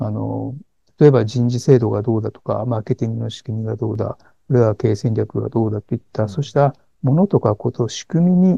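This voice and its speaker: Heard dry and close with no echo, a man speaks at a fairly quick pace and medium pitch, his dark, mellow tone somewhat breathy and his pitch variation ordinary. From Niigata, Japan. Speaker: executive coach. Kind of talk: interview. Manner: frequent fillers and hesitations.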